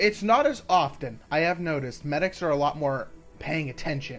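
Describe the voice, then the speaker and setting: Music plays behind a man as he talks. His pitch varies in an ordinary way. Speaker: gaming streamer. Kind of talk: gameplay commentary. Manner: casual, halting.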